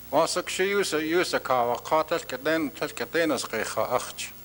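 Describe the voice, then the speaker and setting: This man has an Alaskan accent. His fairly high pitch shows ordinary variation. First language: Tlingit. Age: old. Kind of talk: conference address.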